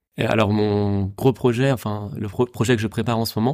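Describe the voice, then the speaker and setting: On a very clean recording with a silent background, a man talks at a moderate pace in a dark, mellow tone with fairly even intonation, the sound dry and close with no echo. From Paris region, France. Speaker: sailor and adventurer. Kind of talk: interview.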